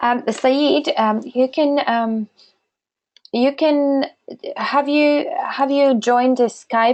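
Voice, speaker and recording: A woman with a non-native accent speaks at a very slow pace, leaving long, frequent pauses. Her pitch is high and her intonation fairly even. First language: not English. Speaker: webinar presenter. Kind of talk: webinar Q&A. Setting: webinar. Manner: halting.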